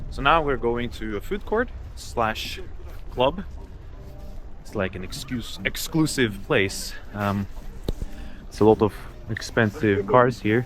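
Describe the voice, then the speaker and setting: A man with a Norwegian accent speaks with long, frequent pauses and big swings in loudness. Noticeable background noise runs through the recording. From Norway. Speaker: travel vlogger. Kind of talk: casual vlog narration.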